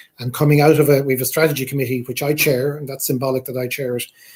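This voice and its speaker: A man with an Irish accent, very fast delivery, flat monotone intonation, medium pitch and a somewhat breathy quality. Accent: Irish, Gaeltacht. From Ireland, Irish-speaking area. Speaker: university president. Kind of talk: Q&A answer.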